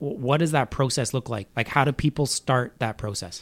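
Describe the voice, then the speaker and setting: A man with a plain, everyday voice and medium pitch talks at a fairly quick pace. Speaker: podcast host. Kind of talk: casual interview chat.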